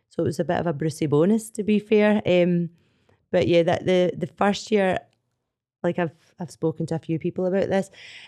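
With a Scottish accent, a woman speaks at a fairly quick pace in a fairly low, dark, mellow voice, leaving long, frequent pauses. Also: ordinary pitch variation. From Scotland. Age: 40s. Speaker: CrossFit athlete. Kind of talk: casual chat. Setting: studio.

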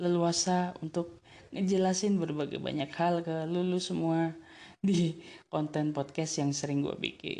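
Speaking at a fairly slow pace, a woman uses a fairly low pitch and fairly even intonation, her tone dark and mellow. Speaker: solo podcaster. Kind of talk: casual monologue. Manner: hesitant, many fillers.

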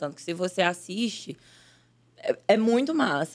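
A woman talks in an animated tone with lively intonation at a fairly slow pace. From Brazil, northern Minas Gerais (Salinas). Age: 20s. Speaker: actress and digital influencer. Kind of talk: casual chat.

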